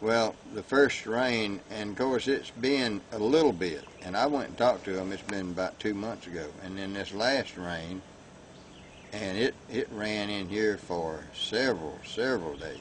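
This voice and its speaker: Fairly slow and fairly low, a man talks with a Florida accent. His pitch variation is ordinary. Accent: Southern US, rural Florida. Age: 70s. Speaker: local resident. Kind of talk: interview. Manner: halting.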